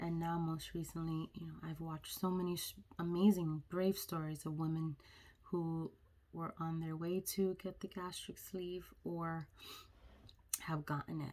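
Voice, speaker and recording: Her voice is fairly low in pitch with a dark, mellow tone, and the woman speaks in monotone, flat intonation. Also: fairly slow pace. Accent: American. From New York, the Bronx. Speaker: vlogger. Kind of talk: personal vlog.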